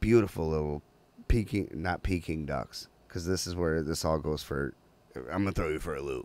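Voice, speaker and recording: A man's voice with vocal fry and lively intonation, in a very clean recording with a silent background. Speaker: podcast host. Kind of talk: casual chat. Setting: studio, livestreamed. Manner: halting, filler-heavy.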